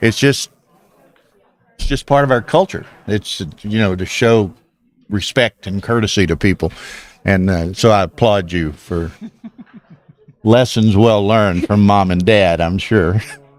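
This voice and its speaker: A man with a Southern US accent, fairly low pitch, ordinary pitch variation, a fairly slow pace and long, frequent pauses. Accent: Southern American. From US South. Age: 70s. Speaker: backgammon commentator. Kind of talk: live commentary. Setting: live stream at a casino tournament.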